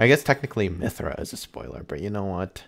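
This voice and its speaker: This man's voice is very deep and low, with vocal fry and very wide pitch swings. He talks at a very fast pace. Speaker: gaming streamer. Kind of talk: casual gameplay commentary.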